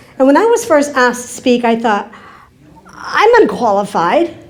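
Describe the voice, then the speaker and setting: A woman with an American accent, noticeable background noise behind her voice. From Kentucky. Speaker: keynote speaker. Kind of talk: conference talk. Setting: stage with audience.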